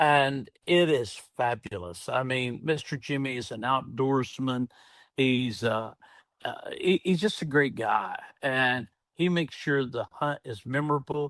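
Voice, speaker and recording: At a fairly slow pace, someone talks in a Southern US accent on a very clean recording with a silent background. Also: man, medium pitch for a man, ordinary pitch variation, dry, close sound with no echo. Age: 60s. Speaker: entrepreneur and former pastor. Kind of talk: podcast interview.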